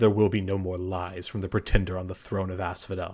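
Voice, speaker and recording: A put-on character voice moves at a fairly quick pace with monotone, flat intonation. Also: man, very deep, low pitch for a man. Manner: menacing, contemptuous.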